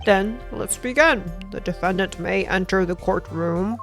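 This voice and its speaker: A female-sounding voice at medium pitch performs a put-on character voice. Clear music plays in the background. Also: moderate pace. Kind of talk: formal. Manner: stern.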